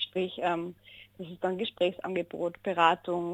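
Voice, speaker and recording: In a dry, close sound with no echo, a woman speaks at a fairly slow pace with a fairly low pitch. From Austria, Innsbruck (Tyrol). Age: 20s. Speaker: social worker. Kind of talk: radio interview.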